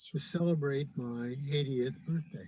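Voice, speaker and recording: A fairly slow, somewhat breathy delivery. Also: man. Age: 70s. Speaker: Rotarian. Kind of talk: recorded invitation talk. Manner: hesitant, many fillers.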